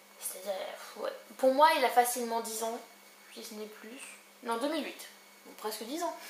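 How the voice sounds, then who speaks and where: Amid audible room echo and noticeable background noise, a woman with a high pitch and ordinary pitch variation speaks with long, frequent pauses. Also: big swings in loudness. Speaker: book vlogger. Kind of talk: casual book review vlog. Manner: fast.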